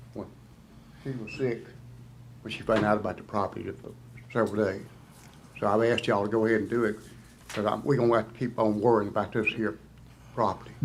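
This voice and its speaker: A man with a fairly low pitch talks at a very fast pace in a monotone, flat intonation. His speech breaks into long, frequent pauses. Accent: American. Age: 70s. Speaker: resident speaking at public hearing. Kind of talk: public comment.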